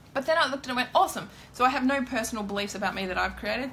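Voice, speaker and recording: Noticeable background noise sits behind a woman whose voice shows ordinary pitch variation. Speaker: tarot card reader. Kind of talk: live-streamed card reading with spiritual advice. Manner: loud.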